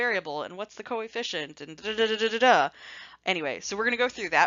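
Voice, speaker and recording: Playful in tone, a woman talks at a very fast pace and a medium pitch with very wide pitch swings. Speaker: statistics teacher. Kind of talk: lecture. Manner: casual, playful.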